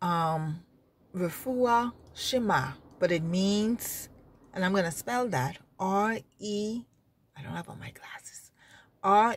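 A woman speaks with lively intonation and a somewhat breathy voice. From Bahamas. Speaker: religious vlogger. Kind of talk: informal religious exhortation. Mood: earnest, emphatic, sometimes sad. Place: car. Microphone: phone near.

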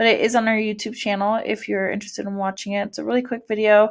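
The speaker has an American accent. The recording is very clean, with a silent background. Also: woman. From California, US. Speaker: school counselor. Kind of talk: presentation to parents. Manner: frequent fillers, um.

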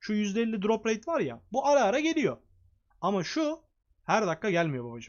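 Swinging very widely in pitch, a man keeps a moderate pace as he speaks. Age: 20s. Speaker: gaming youtuber and streamer. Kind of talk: gameplay tutorial. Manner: blunt, irritated rant.

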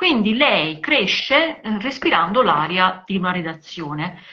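A woman speaks with lively intonation. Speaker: journalist; journalist co-host. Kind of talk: live video conversation about women in cinema and literature. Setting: video call live stream. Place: home room. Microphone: video call.

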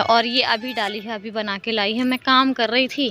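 A woman speaks at a fairly slow pace, with a dry sound with no echo and light background noise. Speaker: home vlogger. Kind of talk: casual vlog chat. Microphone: phone near.

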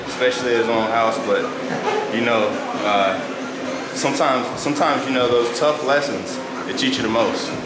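The speech goes at a moderate pace. Loud background noise is present. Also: man. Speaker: fitness vlogger. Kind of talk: casual vlog chat. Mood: playful, joking. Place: garage.

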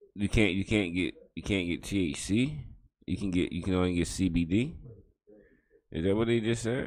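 His pitch sits fairly low for a man, with ordinary variation, and he keeps a moderate pace. Long, frequent pauses break up his speech against a quiet background. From United States. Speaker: reaction video host. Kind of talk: casual reaction commentary. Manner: halting, repeats words. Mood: relaxed, amused, questioning. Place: home room. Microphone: studio mic.

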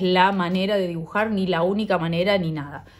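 A woman with a Rioplatense accent at a moderate pace. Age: 40s. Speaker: illustrator and drawing teacher. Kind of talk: tutorial. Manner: warm, encouraging.

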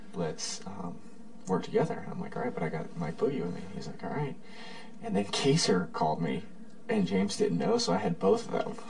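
Quiet, with big swings in loudness, a man speaks at a fairly quick pace. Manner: low, hushed night-time bed talk. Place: home room. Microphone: camera far.

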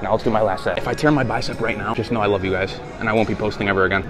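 Clear music plays in the background as the speaker goes at a very fast pace. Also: man. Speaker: fitness vlogger. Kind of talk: casual vlog chat. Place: gym. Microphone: phone near.

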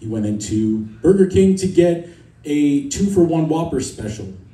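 With an American accent and lively intonation, a man speaks amid audible room echo. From US East Coast. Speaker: stand-up comedian. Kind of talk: stand-up comedy set. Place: stage.

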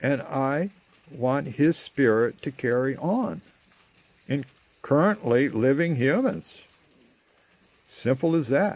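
The man's voice has a dry sound with no echo. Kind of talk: casual vlog chat. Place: garden. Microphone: phone near.

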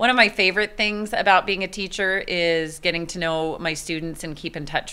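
Spoken with an American accent at a moderate pace, the voice shows ordinary pitch variation. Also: woman. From Texas. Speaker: teacher. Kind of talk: interview. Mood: warm, upbeat.

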